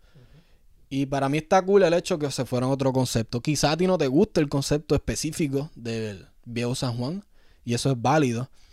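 A man with a Puerto Rican accent and a fairly high pitch at a fairly quick pace, very cleanly recorded against a silent background. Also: ordinary pitch variation. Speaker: sneaker podcast host. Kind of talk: casual chat.

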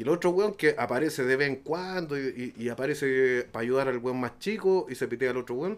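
Speaking at a fairly quick pace with hardly any pauses, a man with a Chilean accent uses a medium pitch and ordinary pitch variation. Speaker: podcast guest. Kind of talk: casual chat.

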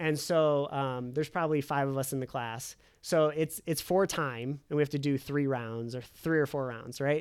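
In a very clean recording with a silent background, a man with a normal speaking voice and a fairly high pitch talks at a moderate pace with hardly any pauses. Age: 30s. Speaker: financial planner. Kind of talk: casual chat.

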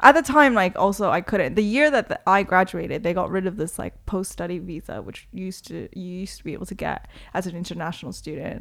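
Vocal fry marks speech at a fairly quick pace in a very clean recording with a silent background. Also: woman. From Toronto, Canada (born in Korea, moved at six). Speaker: DJ and promoter. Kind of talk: casual interview chat.

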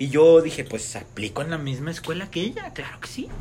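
Noticeable background noise is present throughout. A man speaks at a moderate pace over it. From Mexico. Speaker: friend of the host. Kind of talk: casual chat.

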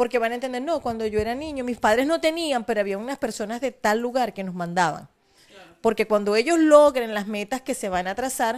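At a moderate pace, a woman talks in a high pitch. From Venezuela, Maracaibo (Zulia). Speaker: charity foundation founder. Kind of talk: interview.

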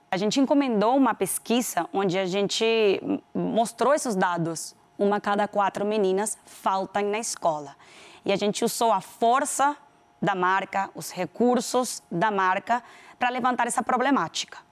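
In a very clean recording with a silent background, a woman with a Venezuelan accent speaks at a medium pitch and a fairly slow pace. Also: ordinary pitch variation. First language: Spanish (speaking Portuguese). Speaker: business executive. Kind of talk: interview. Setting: TV studio.

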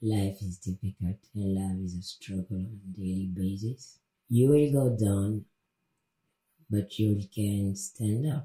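A woman speaks at a very slow pace, her voice very deep and low and somewhat breathy. Her pitch varies in an ordinary way. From DR Congo, Kasai region. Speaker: interview guest sharing personal story. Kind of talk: podcast interview.

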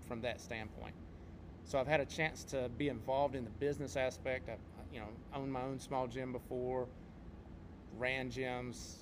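A man with an American accent in a normal speaking voice, medium in pitch, fairly even in intonation, at a moderate pace. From North Carolina. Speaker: podcast co-host, martial arts instructor and competitor. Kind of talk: casual podcast chat.

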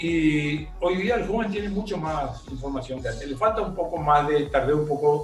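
A man's fairly high voice amid noticeable background noise and audible room echo. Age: 70s. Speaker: retired entrepreneur. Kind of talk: interview. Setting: at home.

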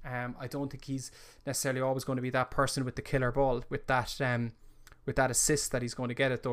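Talking at a very fast pace, a man with an Irish accent keeps a medium pitch and monotone, flat intonation. The recording is very clean with a silent background. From Ireland. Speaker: football podcast host. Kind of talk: casual solo live-stream commentary. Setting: live stream.

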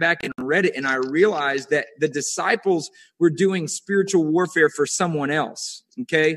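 An ordinary speaking voice moves at a moderate pace with ordinary pitch variation. The background is quiet, and the sound is dry and close with no echo. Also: man. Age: 30s. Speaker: young minister. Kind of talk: preaching conversation. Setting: video call.

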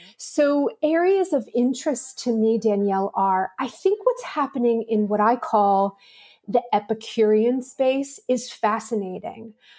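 Speaking at a fairly slow pace, a woman with an American accent uses lively intonation, her fairly high voice carrying a dark, mellow tone. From Pittsburgh, Pennsylvania, US. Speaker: marketing executive. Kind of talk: interview.

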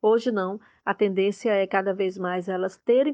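A woman's unremarkable speaking voice at a moderate pace, with ordinary pitch variation. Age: 50s. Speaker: journalist and university professor. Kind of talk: interview answers, explanatory.

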